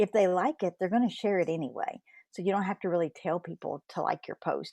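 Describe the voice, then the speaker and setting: In a dry, close recording with no echo and a quiet background, a woman speaks at a fairly quick pace with a medium pitch, ordinary pitch variation and a dark, mellow tone. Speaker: social media coach. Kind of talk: live stream talk. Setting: live stream. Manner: conversational with fillers.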